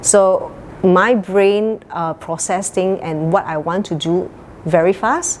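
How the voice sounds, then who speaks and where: A woman speaks at a very slow pace with fairly even intonation. Background noise is noticeable. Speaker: real estate agent. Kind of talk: interview. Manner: high energy.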